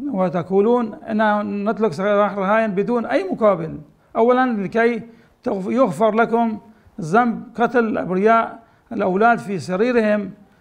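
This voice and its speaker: Over a quiet background, a man with a high pitch and ordinary pitch variation speaks at a fairly slow pace. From Syria, Aleppo; Syria. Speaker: rabbi. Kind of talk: public appeal. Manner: halting. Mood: earnest, pleading. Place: home room.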